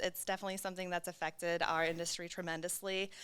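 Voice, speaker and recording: Talking at a very fast pace, a woman has a medium pitch, monotone, flat intonation and a bright, sharp tone. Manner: fast-talking.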